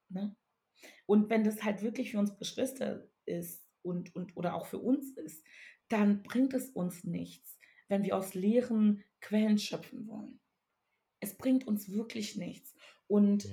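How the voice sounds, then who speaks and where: The speaker talks very slowly with a Ghanaian accent, leaving long, frequent pauses. The voice is somewhat breathy with a dark, mellow tone, ordinary pitch variation and big swings in loudness. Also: woman, medium pitch for a woman. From Togo. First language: Ewe (speaking German). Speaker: writer and artist. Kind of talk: casual chat.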